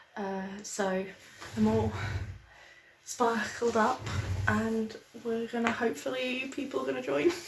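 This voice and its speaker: In a British accent, a woman whispers. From Britain. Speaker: small business owner and vlogger. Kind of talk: casual chat. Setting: video call. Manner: whispering.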